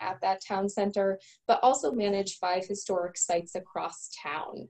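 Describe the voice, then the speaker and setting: A woman with an American accent talks at a fairly slow pace in an unremarkable speaking voice of medium pitch. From eastern Connecticut. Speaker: museum director. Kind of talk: panel talk. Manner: frequent fillers.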